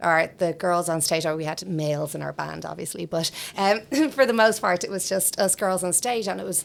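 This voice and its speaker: The speaker is a woman in an Irish accent. She keeps a moderate pace. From Ireland, Dublin. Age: 40s. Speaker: singer and voice teacher, podcast co-host. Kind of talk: casual self-introduction.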